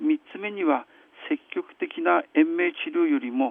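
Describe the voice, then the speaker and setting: This man talks very slowly, his pitch swinging up and down very widely. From Hirosaki, Aomori, northern Japan. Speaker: physician. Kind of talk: radio interview. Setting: phone call.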